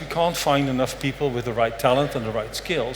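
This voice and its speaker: A man's fairly high-pitched voice amid noticeable background noise and audible room echo. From Netherlands, raised mostly abroad. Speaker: conference speaker, compliance strategy lead. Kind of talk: conference talk. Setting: stage with audience, filmed. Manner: casual, joking.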